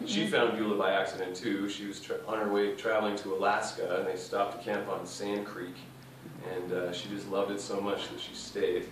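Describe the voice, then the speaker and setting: Heard through noticeable background noise and audible room echo, a man talks at a fairly quick pace and fairly low pitch with monotone, flat intonation. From Toronto, Canada. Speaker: immigrant panelist, student teacher. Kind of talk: panel discussion. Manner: hesitant, many fillers.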